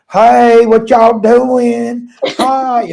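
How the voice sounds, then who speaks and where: A fairly high pitch carries the put-on character voice. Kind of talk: casual, folksy. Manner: friendly, drawling.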